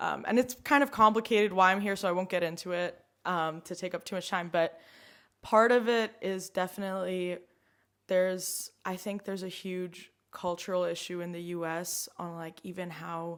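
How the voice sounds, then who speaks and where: A woman speaks at a medium pitch and a moderate pace with an American accent. Her intonation stays fairly even, and the recording is very clean with a silent background. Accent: sort of American. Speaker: climate activist. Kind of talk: casual chat. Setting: home kitchen. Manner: halting, many fillers.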